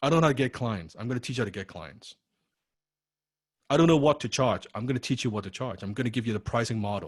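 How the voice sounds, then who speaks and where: This man talks at a very fast pace in an animated tone, with long, frequent pauses. His voice is somewhat breathy and sits at a medium pitch. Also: ordinary pitch variation. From Chinese heritage. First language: not English. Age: 30s. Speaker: copywriting coach. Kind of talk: online class lecture. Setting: online video class.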